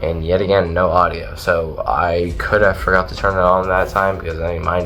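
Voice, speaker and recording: A man speaks in a room with audible echo. Music plays in the background. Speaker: ghost hunting YouTuber. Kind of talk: casual video commentary. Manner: halting; fast.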